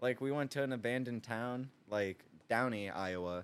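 A man with an American accent speaks at a medium pitch with ordinary pitch variation in an unremarkable speaking voice, on a very clean recording with a silent background. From US Midwest/South (Toledo, Ohio and Louisville, Kentucky). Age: 20s. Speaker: door maker. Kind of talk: casual chat.

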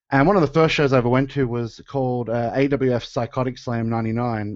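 This man speaks at a medium pitch in an Australian accent, keeping his intonation fairly even. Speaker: professional wrestler and musician. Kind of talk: casual chat.

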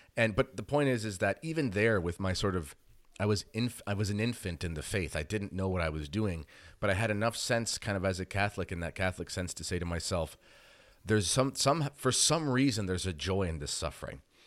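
This man has a plain, everyday voice, fairly low in pitch. He talks at a fairly quick pace with lively intonation. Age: 30s. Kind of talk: interview. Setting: video call.

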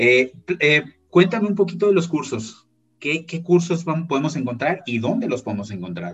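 Using vocal fry and very wide pitch swings, a man talks at a moderate pace. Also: fairly high pitch for a man. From Mexico. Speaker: podcast host. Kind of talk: interview conversation.

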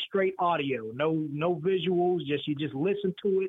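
His voice is high. This man's pitch shifts in a normal way. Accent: Southern US. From North Carolina. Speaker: audio comedy producer. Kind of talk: casual chat.

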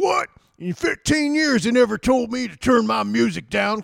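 A man speaks in a put-on character voice. His pitch is extremely high for a man, and his pace is moderate. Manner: indignant, complaining.

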